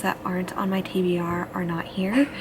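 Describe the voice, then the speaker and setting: A woman speaks quietly. Noticeable background noise can be heard behind her. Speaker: book vlogger. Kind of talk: casual vlog. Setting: library. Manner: quiet, hushed.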